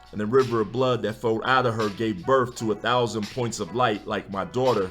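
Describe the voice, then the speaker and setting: Music plays in the background as a man talks at medium pitch with fairly even intonation. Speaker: spoken word poet. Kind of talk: spoken word poetry performance. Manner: rhythmic, emphatic delivery.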